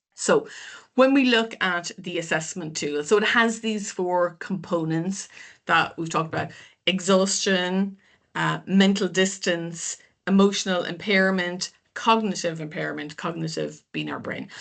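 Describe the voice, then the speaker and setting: Against a quiet background, a woman with a plain, everyday voice speaks at a fairly slow pace, her medium pitch showing ordinary pitch variation. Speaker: business psychologist. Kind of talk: webinar presentation.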